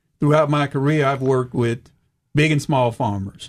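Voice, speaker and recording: With a Southern US accent, a man talks in fairly even intonation. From US South, rural eastern Arkansas. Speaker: retired agriculture official, farming entrepreneur. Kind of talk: radio interview.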